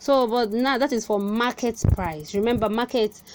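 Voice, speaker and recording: A woman with a Nigerian accent talks at a fairly slow pace, music playing in the background. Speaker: crypto trading tutor. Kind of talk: tutorial. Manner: halting, many fillers.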